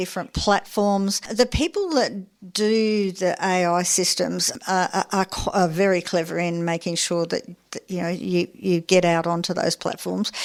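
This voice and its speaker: The recording is very clean and the background silent. A woman with an Australian accent talks at a moderate pace. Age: 70s. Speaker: community radio host. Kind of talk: radio interview.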